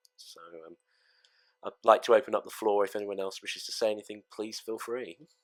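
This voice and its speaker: A man with an English accent, fairly quick in pace, in a flat monotone, with long, frequent pauses and a dry, close sound with no echo. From England. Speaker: gaming fleet leader. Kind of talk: memorial speech. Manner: halting.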